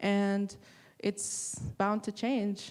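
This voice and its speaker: This woman speaks with a Spanish accent. Her intonation stays fairly even. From Texas, Rio Grande Valley. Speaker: artist and printmaking professor. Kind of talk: panel discussion.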